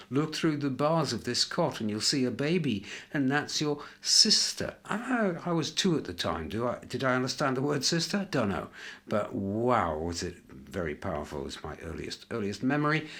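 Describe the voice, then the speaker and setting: Using vocal fry and very wide pitch swings, a man talks at a moderate pace. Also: medium pitch for a man. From northern England, York. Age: 60s. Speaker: interviewee sharing life memories. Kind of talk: reflective interview. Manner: hesitant, with many fillers.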